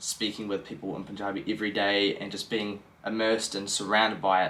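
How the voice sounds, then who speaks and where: The speaker is a man with a New Zealand accent. He talks at a fairly quick pace. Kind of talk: casual talk to camera.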